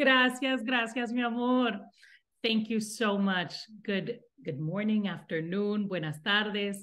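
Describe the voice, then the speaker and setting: A woman speaks with a Spanish accent at a fairly high pitch with ordinary variation. Audible room echo surrounds her voice. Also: fairly slow pace. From Latin America, raised in the US from infancy. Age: 30s. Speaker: nonprofit executive director. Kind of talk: interview. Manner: halting, with many fillers and repetitions.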